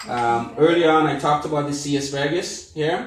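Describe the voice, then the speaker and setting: There is audible room echo around a man's voice. He speaks at a moderate pace with ordinary pitch variation. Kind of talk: cooking demonstration. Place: kitchen. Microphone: phone near.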